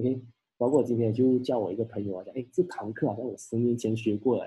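A man talks at a fairly quick pace, his medium-pitched voice somewhat breathy. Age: 30s. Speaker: insurance agency leader giving talks. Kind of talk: online live talk / seminar. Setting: video call livestream.

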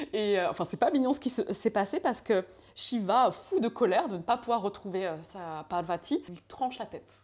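At a moderate pace, a woman with a fairly high pitch speaks with lively intonation and big swings in loudness. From France, Laval. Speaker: yoga teacher and former fashion designer. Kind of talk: casual chat. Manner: halting, many hesitations.

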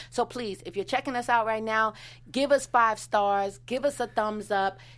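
A woman's fairly high-pitched, plain, everyday voice at a fairly quick pace, with ordinary pitch variation, in a very clean recording with a silent background. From Washington DC. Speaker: TV recap podcast co-host. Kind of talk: casual chat; audience appeal. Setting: studio.

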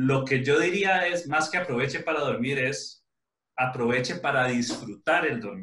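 A man with a Costa Rican accent, fairly high in pitch, bright and sharp in tone, with ordinary pitch variation at a fairly slow pace. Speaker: podcast host, father. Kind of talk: casual chat.

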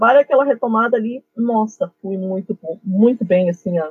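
A woman speaks with an ordinary speaking voice. Her pitch is fairly high, with ordinary pitch variation. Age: 50s. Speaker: geography teacher. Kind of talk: interview.

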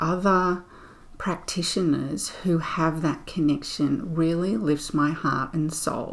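A woman with an Australian accent speaks in a gentle, soothing tone at a fairly low pitch, with lively intonation. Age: 50s. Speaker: spiritual podcast host. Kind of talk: reflective solo monologue.

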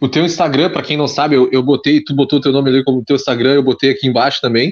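Fairly even in intonation, a man speaks at a very fast pace. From Pelotas, southern Brazil. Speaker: podcast host. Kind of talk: casual chat. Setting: video call.

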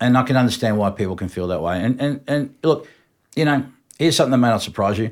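An Australian accent marks this man's medium-pitched voice as he talks very fast. The recording is very clean, with a silent background. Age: 50s. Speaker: music industry veteran. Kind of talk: casual chat.

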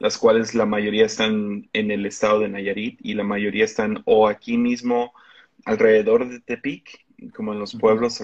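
In a Mexican accent, a man speaks fairly slowly at a fairly low pitch, his intonation monotone and flat. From Mexico. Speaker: pastor. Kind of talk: interview conversation.

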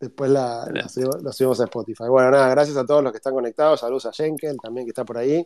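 Speaking at a very fast pace with hardly any pauses, a man of medium pitch delivers his words in a monotone, flat intonation, the sound dry and close with no echo. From Argentina. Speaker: podcast host. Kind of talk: interview. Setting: online audio room.

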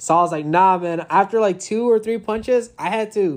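A man speaks in a playful tone at a moderate pace with ordinary pitch variation. The recording is very clean, with a silent background. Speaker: podcast co-host, military service member. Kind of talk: casual chat. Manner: joking, playful.

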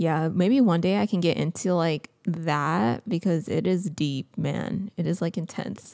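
Slow-ish in pace with hardly any pauses, a woman speaks at a fairly low pitch with vocal fry, a dark, mellow tone and lively intonation. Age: 20s. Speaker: podcast co-host. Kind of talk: casual chat.

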